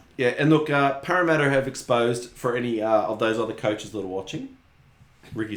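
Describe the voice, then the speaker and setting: A man talks fairly quickly in an Australian accent. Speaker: rugby league podcast co-host. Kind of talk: casual chat. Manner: animated.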